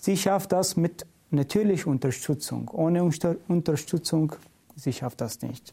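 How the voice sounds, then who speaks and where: Speaking at a very slow pace with a Middle Eastern accent, a man has a high pitch, a dark, mellow tone and ordinary pitch variation. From Iraq. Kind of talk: interview. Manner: halting non-native German.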